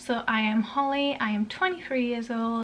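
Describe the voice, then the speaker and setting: A woman with a Yorkshire accent, ordinary pitch variation and a moderate pace. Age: 20s. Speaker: parenting vlogger. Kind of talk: casual vlog talk. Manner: casual, halting with fillers.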